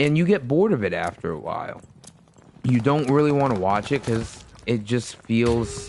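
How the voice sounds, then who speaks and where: A man speaks at medium pitch and a moderate pace with lively intonation. Noticeable background noise is present. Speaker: gaming streamer. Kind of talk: casual chat. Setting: live stream. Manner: halting. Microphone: new USB mic.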